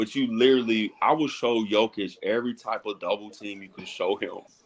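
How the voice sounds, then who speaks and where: A medium-pitched man with an American accent, at a moderate pace. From outside New York. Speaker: basketball podcast host. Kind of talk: casual chat. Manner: animated.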